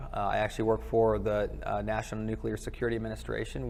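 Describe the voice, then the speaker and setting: A man is speaking. Room echo can be heard around his voice. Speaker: government quality control worker, conference attendee. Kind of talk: casual interview. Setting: conference live stream, wireless mic. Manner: loud; hesitant with fillers.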